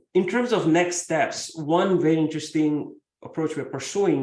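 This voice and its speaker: With audible room echo, a man with a fairly high pitch and a dark, mellow tone talks at a moderate pace. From India, Mumbai. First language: Marathi. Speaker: professor. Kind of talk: keynote lecture.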